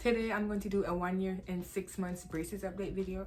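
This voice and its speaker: Very fast speech with music in the background. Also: woman. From Jamaica. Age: 20s. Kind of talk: casual talk to camera.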